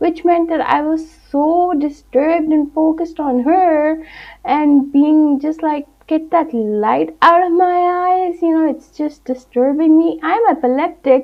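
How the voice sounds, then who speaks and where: A woman's extremely high voice at a fairly slow pace, with ordinary pitch variation. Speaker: film reviewer. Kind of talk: casual review monologue. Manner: animated.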